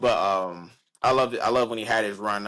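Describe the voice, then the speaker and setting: With an American accent, a man talks at a moderate pace and fairly even intonation on a very clean recording with a silent background. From Chicago. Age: young. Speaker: musician and actor. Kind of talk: interview answer. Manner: casual, hesitant.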